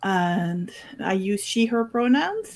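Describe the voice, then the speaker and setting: A woman with a French Canadian accent is heard on a very clean recording with a silent background. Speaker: tabletop game player. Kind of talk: casual chat.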